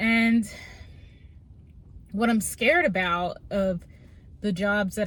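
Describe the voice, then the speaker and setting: A woman's medium-pitched voice comes across as somewhat breathy. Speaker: vlogger. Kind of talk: personal vlog monologue. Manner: halting.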